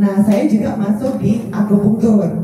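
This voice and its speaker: Amid noticeable background noise and audible room echo, a woman talks at a fairly slow pace and a fairly high pitch. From Surabaya, East Java. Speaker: doctor and clinic founder. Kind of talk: press conference speech. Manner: chatty, informal.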